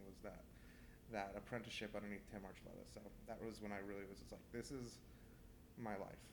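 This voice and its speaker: A man with a Californian accent, fairly low in pitch, talking very fast amid audible room echo. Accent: Californian American. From California, Central Valley (Manteca). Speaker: chef. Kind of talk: interview. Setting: restaurant.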